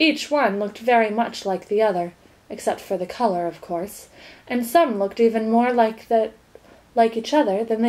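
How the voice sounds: Someone reads in a natural reading voice.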